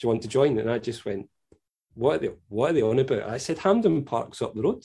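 A man speaks in a Scottish accent. His tone is dark, mellow and somewhat breathy. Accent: Scottish (Fife). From Scotland, Fife. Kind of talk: casual chat.

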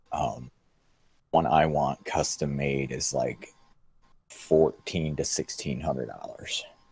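A very slow male voice broken by long, frequent pauses. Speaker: podcast co-host. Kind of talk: casual chat, live stream.

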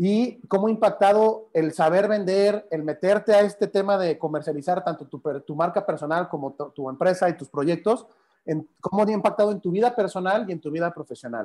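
At a fairly quick pace, a man talks in a high pitch with ordinary variation and a dark, mellow tone. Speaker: live stream host. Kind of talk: casual interview on a Facebook Live. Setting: Facebook Live video call.

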